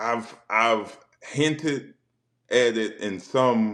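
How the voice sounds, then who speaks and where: The man talks at medium pitch with ordinary pitch variation. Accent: Southern. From South Carolina. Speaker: former football player and spoken word poet. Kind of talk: casual chat. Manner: halting, repeats words.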